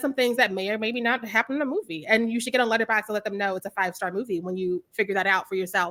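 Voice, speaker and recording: A loud woman's voice, bright and sharp, animated in tone, with lively intonation at a very fast pace. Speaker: horror film reviewer, interviewer. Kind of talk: casual interview.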